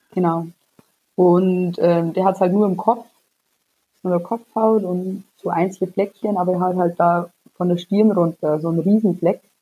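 A woman with a dark, mellow tone speaks at a medium pitch and moderate pace, her intonation monotone and flat, with long, frequent pauses. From Bavaria, near Munich. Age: 20s. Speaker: psoriasis patient. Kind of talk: casual interview.

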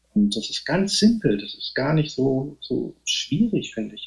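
The man's voice is somewhat breathy. He keeps a moderate pace. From northeastern Germany. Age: 50s. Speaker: novelist and poet. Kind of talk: casual interview. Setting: remote call.

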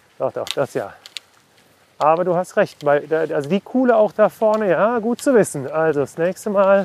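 A high-pitched man with lively intonation in a dry, close sound with no echo. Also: moderate pace. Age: 40s. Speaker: podcast host and journalist. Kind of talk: casual chat. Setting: outdoors.

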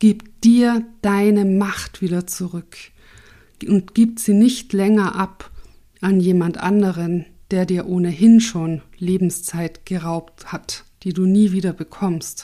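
This woman speaks at a very slow pace in a medium pitch, with a dark, mellow tone and fairly even intonation. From Austria, Tyrol. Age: 40s. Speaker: podcast host and coach. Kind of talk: solo podcast, personal story.

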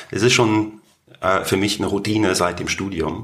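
A man speaks with a fairly low voice in a monotone, flat intonation. Noticeable background noise is present. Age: 40s. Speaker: business executive. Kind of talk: interview. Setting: studio office.

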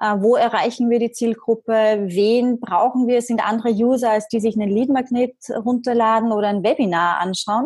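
Her voice is a normal speaking voice, as a woman with a fairly high pitch talks at a moderate pace with fairly even intonation and very even loudness. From Austria, Vienna. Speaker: marketing entrepreneur and magazine publisher. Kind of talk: podcast interview.

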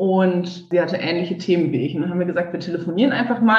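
A woman talks at a very fast pace with a fairly low pitch and a somewhat breathy quality. Audible room echo is present. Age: 20s. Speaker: civil engineer turned coach. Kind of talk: interview.

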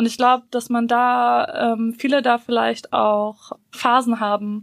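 A woman speaks very slowly at a fairly high pitch. Her intonation stays fairly even. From Bosnia, raised in Germany from early childhood. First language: Bosnian (speaking German). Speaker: podcast co-host. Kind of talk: casual chat.

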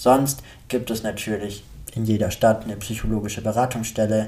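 A fairly low-pitched man's voice with a dark, mellow tone, fairly even intonation and a moderate pace. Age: 20s. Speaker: psychology student and author podcaster. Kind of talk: podcast monologue introduction.

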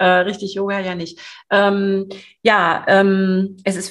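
Here a woman is speaking. Her pitch is medium. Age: 50s. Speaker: sales coach. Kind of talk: podcast interview. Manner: hesitant, many fillers.

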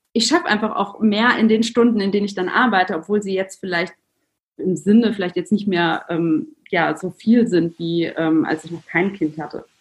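Her voice is somewhat breathy as the woman talks. She keeps a moderate pace and lively intonation. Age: 30s. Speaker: entrepreneur and mother. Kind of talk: podcast interview.

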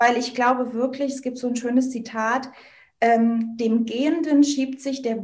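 Speaking at a fairly slow pace, a woman keeps her high voice at fairly even intonation. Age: 30s. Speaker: network marketer and women's coach. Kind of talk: interview.

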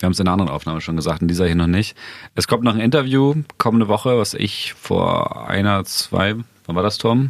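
A man speaks at a fairly low pitch and a fairly quick pace, with ordinary pitch variation. It is an ordinary speaking voice, in a very clean recording with a silent background. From Bremen area, northern Germany. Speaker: podcast host, journalist. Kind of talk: casual chat.

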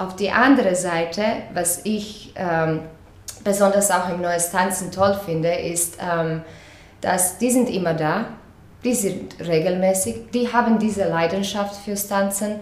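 In a Croatian accent, a woman speaks at a very slow pace and medium pitch with ordinary pitch variation, amid noticeable background noise and audible room echo. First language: Croatian (speaking German). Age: 30s. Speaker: dance teacher. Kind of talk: interview. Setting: in person, open window. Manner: halting, with fillers.

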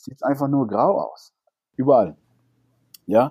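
Speaking at a moderate pace, a man with a Spanish accent has a fairly high pitch and a dark, mellow tone. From Cuba. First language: Spanish (speaking German). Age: 30s. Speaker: salsa dancer and teacher. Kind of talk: interview.

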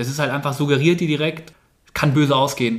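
The speaker is a man talking at a fairly quick pace. His intonation stays fairly even. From Bavaria, Starnberg near Munich. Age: 20s. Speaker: amateur dirt jump mountain biker. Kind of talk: casual interview chat.

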